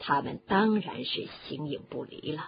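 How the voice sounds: A quiet, low-pitched woman's put-on character voice with a husky, rough edge, vocal fry, lively intonation and a moderate pace.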